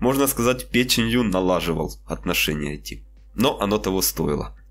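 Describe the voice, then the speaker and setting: A man talks at a measured, moderate speed with music audible behind him. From Ukraine. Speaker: DIY maker, video blogger. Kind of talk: scripted voice-over narration of a workshop build. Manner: formal.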